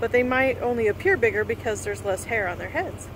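The speech moves at a fairly quick pace over noticeable background noise, with a dry sound and no echo. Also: woman. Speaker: RV travel vlogger. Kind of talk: casual vlog chat. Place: open country. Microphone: phone near.

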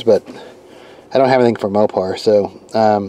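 The recording of a man's voice is dry, with no echo. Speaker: car owner reviewing a tool. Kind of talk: casual vlog chat. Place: car. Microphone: phone near.

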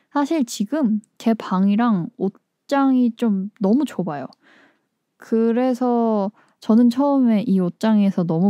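With a dark, mellow tone and lively intonation, a woman sounds relaxed, captured dry with no echo against a quiet background. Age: 20s. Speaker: musician and community radio host; radio show host. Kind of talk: casual radio talk between songs; radio talk show chat. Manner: relaxed, with frequent filler 어. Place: studio.

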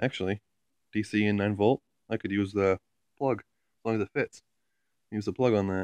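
A man with a fairly low pitch talks at a moderate pace, his intonation fairly even and broken by long, frequent pauses. The sound is dry with no echo, over a quiet background. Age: 20s. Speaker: YouTuber. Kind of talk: casual vlog, show-and-tell. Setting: at home, in and below the attic. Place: home room. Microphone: phone near.

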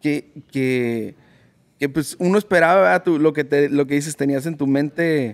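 A man's unremarkable speaking voice, fairly high-pitched and fairly slow, with ordinary pitch variation against a quiet background. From Mexicali, Mexico; Mexico. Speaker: podcast host. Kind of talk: casual interview; sponsor read. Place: shop. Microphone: studio mic.

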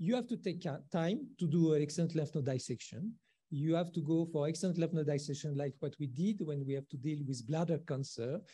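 This man has a dark, mellow tone. He speaks at a fairly quick pace. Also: ordinary pitch variation. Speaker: presenter. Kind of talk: lecture. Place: hall.

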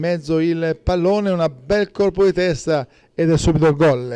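Dark, mellow tone from a man at a moderate pace, fairly high pitched for a man, with a dry, close sound and no echo. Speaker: sports commentator. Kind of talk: live sports commentary on a football match, recapped as highlights.

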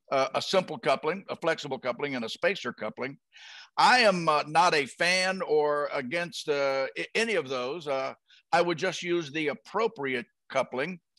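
The man's bright, sharp tone comes across dry with no echo against a quiet background, at a moderate pace with ordinary pitch variation. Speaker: guest. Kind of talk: interview answer. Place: home room. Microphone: headset.

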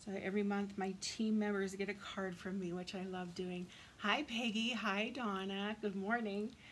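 A woman's somewhat breathy voice at a moderate pace, with monotone, flat intonation. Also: medium pitch for a woman. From Canada. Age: 40s. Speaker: craft demonstrator. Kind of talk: tutorial. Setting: live video stream. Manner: casual, chatty.

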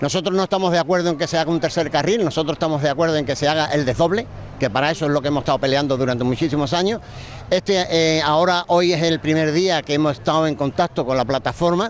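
Over light background noise, a man talks at a very fast pace with ordinary pitch variation, and the sound is dry with no echo. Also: very even loudness. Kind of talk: interview answer. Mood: firm, complaining. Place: beach. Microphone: handheld.

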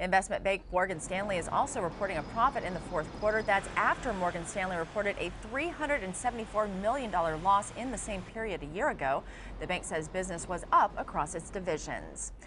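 A woman talks at a fairly quick pace. There is noticeable background noise behind her. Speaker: news anchor. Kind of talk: news reading. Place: studio. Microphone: lapel.

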